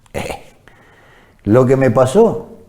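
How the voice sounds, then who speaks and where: Audible room echo surrounds a man's voice. His pitch swings very widely. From Argentina, Chaco province. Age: 60s. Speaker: war veteran. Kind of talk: testimony interview.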